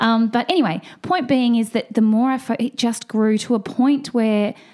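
Here a woman speaks in an Australian accent. Her tone is dark and mellow. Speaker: fertility and hormone expert, Chinese medicine doctor. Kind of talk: casual interview.

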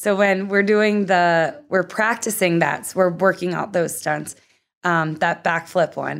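A woman talks in a normal speaking voice with an American accent, at a moderate pace and fairly low pitch. Her pitch varies in an ordinary way, and the recording is very clean with a silent background. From US Northeast, Philadelphia. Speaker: professional skater and stunt double. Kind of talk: casual interview.

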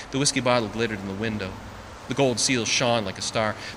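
With ordinary pitch variation, the clip offers a natural reading voice.

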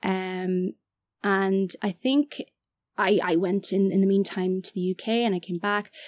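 A woman with an Irish accent speaks fairly slowly at a medium pitch, in a dry, close sound with no echo on a very clean recording with a silent background. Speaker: actor and film director. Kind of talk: casual chat. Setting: studio.

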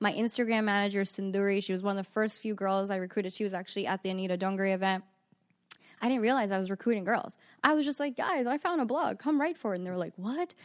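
On a very clean recording with a silent background, a woman with a New York accent speaks at a very fast pace in a medium-pitched voice with ordinary pitch variation. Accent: New York American. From New York (Queens, Long Island). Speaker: magazine CEO. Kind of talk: casual interview.

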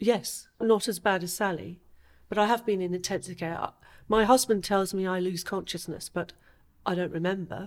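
A woman uses an ordinary speaking voice at a medium pitch. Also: ordinary pitch variation, moderate pace. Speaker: asthma patient. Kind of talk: interview. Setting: studio.

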